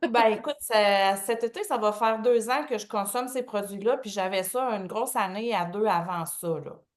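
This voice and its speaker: Speaking at a moderate pace with hardly any pauses, a woman with a Quebec accent has a fairly high pitch and ordinary pitch variation. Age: 50s. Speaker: testimonial guest. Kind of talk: testimony.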